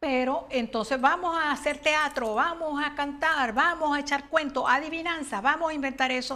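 Raising and projecting her high voice in a bright, sharp tone, a woman speaks at a moderate pace with fairly even intonation and hardly any pauses. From Venezuela, Barquisimeto; Venezuela. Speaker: children's author; interviewee. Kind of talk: interview. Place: studio. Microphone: lapel.

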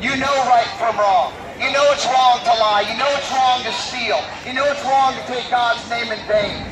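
Loud background noise sits behind this recording. A man talks over it at a moderate pace. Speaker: open-air street preacher. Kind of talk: open-air street preaching to a crowd. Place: street. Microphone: camera far.

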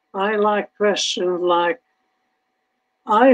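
This man has a Hungarian accent. His voice sits high in pitch. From Hungary. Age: 80s+. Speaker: Holocaust survivor speaker. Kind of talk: testimony with audience Q&A. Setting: online video event. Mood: earnest, slightly wry. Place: home room.

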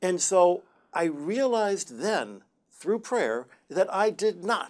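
Very wide pitch swings mark the speech of a man with an American accent. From US Midwest, Detroit. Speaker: Jesuit brother and astronomer. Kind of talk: TV interview. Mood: warm, good-humored. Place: studio.

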